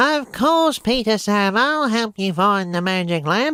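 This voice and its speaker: A nasal, put-on character voice with fairly high pitch moves along at a fairly slow pace. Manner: eager, helpful.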